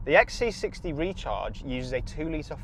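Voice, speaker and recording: A man speaks in an English accent. His tone is enthusiastic. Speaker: car reviewer. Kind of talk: car review to camera while driving. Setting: in a car. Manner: loud.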